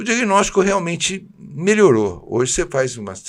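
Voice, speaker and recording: At a moderate pace, a man's pitch swings very widely on a very clean recording with a silent background. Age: 70s. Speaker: neurologist. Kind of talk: TV health interview.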